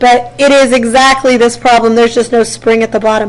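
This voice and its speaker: Over noticeable background noise, a woman talks in an animated tone at a high pitch. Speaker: physics teacher. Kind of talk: classroom lecture. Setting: classroom. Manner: fast.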